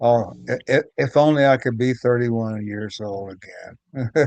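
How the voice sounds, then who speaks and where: The voice moves at a very slow pace with ordinary pitch variation over a quiet background. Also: man. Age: 70s. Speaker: underground comics artist. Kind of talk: casual chat. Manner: halting, many repetitions.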